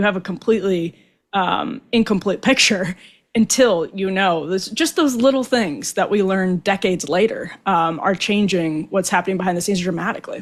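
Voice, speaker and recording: A woman with an American accent has a normal speaking voice, medium in pitch, with lively intonation at a moderate pace. The recording is very clean, with a silent background. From Wisconsin, US Midwest. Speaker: political podcast host. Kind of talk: casual chat.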